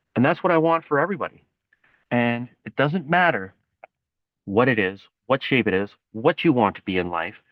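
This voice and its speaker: A man speaks at a medium pitch, his voice swinging very widely up and down. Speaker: motivational vlogger. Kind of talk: motivational monologue. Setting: outdoors. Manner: fast.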